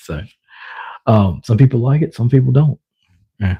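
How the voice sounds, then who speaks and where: A man speaks at a medium pitch with a dark, mellow tone and a somewhat breathy quality. His intonation is lively, and the sound is dry and close with no echo. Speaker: livestreamer. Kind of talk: casual live stream chat. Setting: live stream. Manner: hesitant, many fillers.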